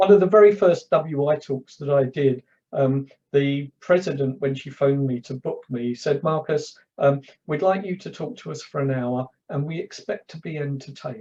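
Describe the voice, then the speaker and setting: With a London accent, a man speaks at a fairly high pitch in a dark, mellow tone that is somewhat breathy, his loudness swinging widely. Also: ordinary pitch variation, moderate pace. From London, north. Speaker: public speaker, former journalist. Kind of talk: casual chat. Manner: halting.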